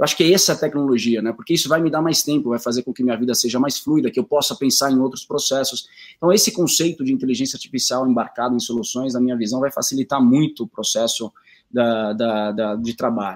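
At a very fast pace, a man speaks in a medium pitch with ordinary pitch variation. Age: 30s. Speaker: company executive. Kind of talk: interview, live stream talk.

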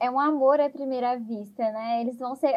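A woman talks at a high pitch and a fairly quick pace. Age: 20s. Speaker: musical theatre fan, website moderator. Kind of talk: casual podcast chat.

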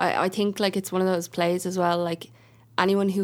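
The recording is very clean, with a silent background. A woman speaks in a monotone, flat intonation. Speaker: podcast host. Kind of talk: interview. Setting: studio.

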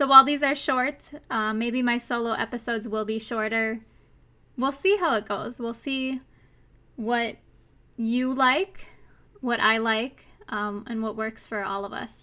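Captured on a very clean recording with a silent background, a woman with a fairly high pitch and a bright, sharp tone speaks at a fairly slow pace with fairly even intonation and long, frequent pauses. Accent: Minnesotan. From US Minnesota. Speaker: podcast host. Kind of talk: solo podcast monologue, casual and personal. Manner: casual, chatty, earnest; laughs often, self-deprecating.

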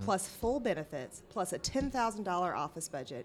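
A woman of medium pitch speaks with a Southern US accent. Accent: southern drawl. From US South, rural Arkansas. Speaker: city council candidate. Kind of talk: interview.

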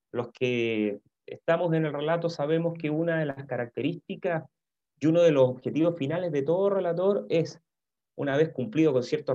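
A man speaks in a fairly high pitch. His tone is dark and mellow. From Chile, Santiago. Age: 50s. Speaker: football commentator. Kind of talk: interview.

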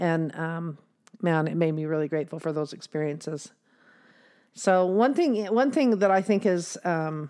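A plain, everyday voice. Its pitch varies in an ordinary way. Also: woman, very clean recording, silent background. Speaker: podcast host. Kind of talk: casual chat. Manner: laughs often.

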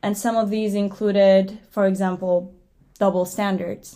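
Against a silent background in a very clean recording, a woman with a Turkish accent speaks at a moderate pace and fairly even intonation. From Turkey. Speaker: podcast co-host, graduate student. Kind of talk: casual chat.

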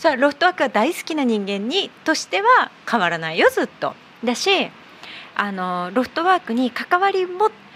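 A high-pitched woman's voice at a moderate pace, with very wide pitch swings and noticeable background noise. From Abu Dhabi. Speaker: company founder. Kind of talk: casual chat. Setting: bar-themed studio set.

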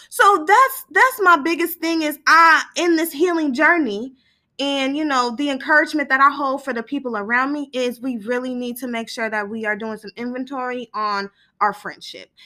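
A woman's raised, projected voice in an American accent, high-pitched and bright and sharp in tone, animated, with big swings in loudness, a moderate pace and a very clean recording over a silent background. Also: lively intonation. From Northern California, East Sacramento. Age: 20s. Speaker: podcast host. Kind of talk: casual solo talk. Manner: animated, laughing often.

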